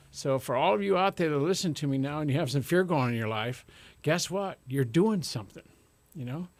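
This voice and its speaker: A man talks at a fairly quick pace with lively intonation. The recording is very clean and the background silent. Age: 60s. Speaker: radio host and life coach. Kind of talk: radio talk show. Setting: radio studio. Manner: animated; calm.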